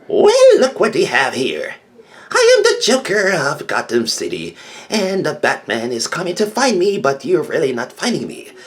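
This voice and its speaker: A put-on character voice carries the words along at a moderate pace. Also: man. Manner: cackly, taunting.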